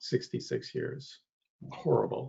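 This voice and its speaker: This man speaks with an American accent and sounds somewhat breathy. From Maine, US. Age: 60s. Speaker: advisory board member. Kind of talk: public meeting discussion.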